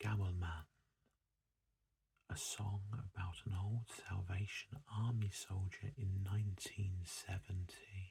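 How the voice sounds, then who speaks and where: A man speaks very slowly and softly, his fairly low voice somewhat breathy. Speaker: ASMR creator. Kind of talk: ASMR book showcase, soft-spoken reading. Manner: soft-spoken, relaxing.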